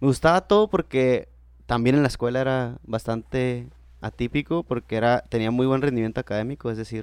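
A man's ordinary speaking voice, medium in pitch, with ordinary pitch variation, a moderate pace, and a dry, close sound with no echo. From Mexico, Baja California (Tijuana). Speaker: university lecturer and entrepreneur. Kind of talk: interview conversation.

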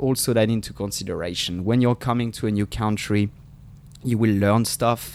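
Here a man is speaking. He has a French accent. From France. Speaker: podcast co-host. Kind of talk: casual chat. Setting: video call. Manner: animated.

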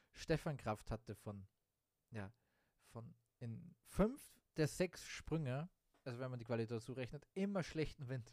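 A man with a medium pitch talks at a moderate pace with lively intonation. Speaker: sports podcast host. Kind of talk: casual sports commentary monologue. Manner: unscripted, many fillers.

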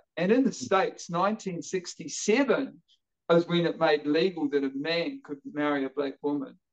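Speaking with a New Zealand accent, a man uses a high-pitched voice. His intonation is lively and his pace moderate. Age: 50s. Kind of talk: interview conversation. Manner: halting, repeats words.

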